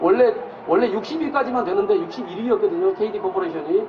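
A man speaks with very wide pitch swings. There is noticeable background noise along with audible room echo. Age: middle-aged. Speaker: lawyer. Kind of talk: public talk (street busking event).

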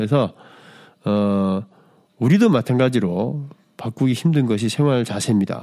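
A dark, mellow tone with ordinary pitch variation and long, frequent pauses, in a very clean recording over a silent background. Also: man, medium pitch for a man. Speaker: podcast host. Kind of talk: solo podcast monologue. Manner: halting, many fillers.

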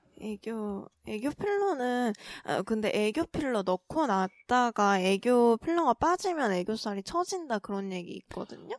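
With a normal speaking voice, a woman talks at a fairly slow pace in a fairly high pitch with lively intonation, the sound dry and close with no echo. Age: 20s. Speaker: podcast co-host. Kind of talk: casual chat.

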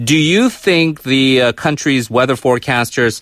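A man with a plain, everyday voice talks at a medium pitch and a moderate pace, with ordinary pitch variation. The sound is dry and close, with no echo. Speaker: radio interview host. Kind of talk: radio interview. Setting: studio.

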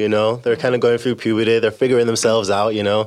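A man talks. His pace is very fast. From England. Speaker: English teacher. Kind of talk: casual chat.

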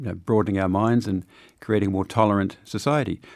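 A man's fairly low voice with a New Zealand accent and ordinary pitch variation, on a very clean recording with a silent background. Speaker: diplomat. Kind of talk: interview. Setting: studio.

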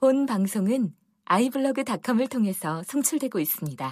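Very wide pitch swings from a woman at a high pitch and fairly slow pace, on a very clean recording with a silent background. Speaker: healing coach and former broadcaster. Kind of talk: casual interview chat.

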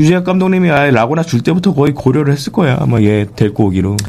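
Over noticeable background noise, a man with a fairly high voice swings very widely in pitch while keeping his loudness very even and hardly pausing. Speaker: co-host, basketball commentator. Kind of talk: casual sports talk show chat. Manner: blunt, profane, animated.

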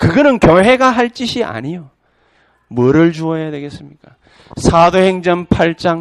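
A man's high-pitched, animated voice at a fairly slow pace, with very wide pitch swings and big swings in loudness. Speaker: pastor. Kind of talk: sermon. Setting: church.

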